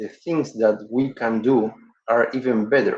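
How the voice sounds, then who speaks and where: A man with a non-native accent, at a very slow pace, with ordinary pitch variation. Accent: non-native English speaker. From Uruguay. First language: Spanish. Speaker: dental professor. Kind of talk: webinar lecture. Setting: online webinar. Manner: halting with frequent fillers.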